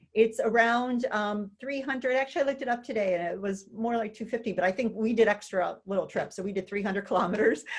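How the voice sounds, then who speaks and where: A woman's fairly high-pitched, an ordinary speaking voice with an American accent and ordinary pitch variation. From US Midwest, St. Louis, Missouri. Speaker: retired economics professor. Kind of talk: interview conversation.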